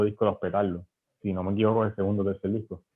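This is a man speaking. His pitch sits fairly low. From western Puerto Rico. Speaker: visual artist and illustrator. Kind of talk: casual interview. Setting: podcast recording. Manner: halting, with frequent repetitions.

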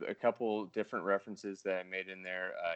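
The speaker uses an unforced reading voice.

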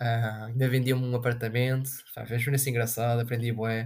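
A man speaks at a medium pitch in a somewhat breathy voice. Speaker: podcast host. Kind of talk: casual solo monologue. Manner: animated.

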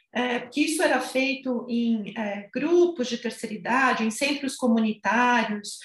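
Speaking at a fairly slow pace, a woman with a high pitch uses ordinary pitch variation. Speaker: physiotherapist and gerontology researcher. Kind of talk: expert interview.

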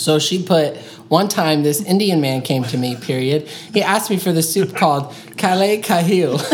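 Audible room echo and noticeable background noise surround the voice. Its pace is moderate, and its pitch varies an ordinary amount. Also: woman, fairly low pitch for a woman. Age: 20s. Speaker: podcast co-host. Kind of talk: casual chat.

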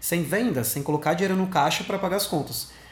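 Amid audible room echo, a man talks with ordinary pitch variation. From Sorocaba, São Paulo state, Brazil. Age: 20s. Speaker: social media marketing specialist. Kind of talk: recorded monologue answering interview questions.

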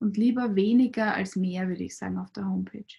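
Her tone is dark and mellow. The woman's voice is also somewhat breathy. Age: 40s. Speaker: clinical psychologist. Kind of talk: interview.

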